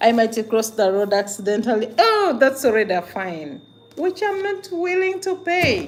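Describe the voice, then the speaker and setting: Amid noticeable background noise, a woman speaks at a moderate pace with an animated tone, her high voice making very wide pitch swings. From Uganda. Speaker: vlogger, migrant worker. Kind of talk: casual livestream monologue.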